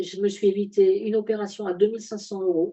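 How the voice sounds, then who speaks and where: A woman speaks with fairly even intonation. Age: 60s. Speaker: wellness product presenter. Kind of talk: product presentation. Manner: halting, many hesitations.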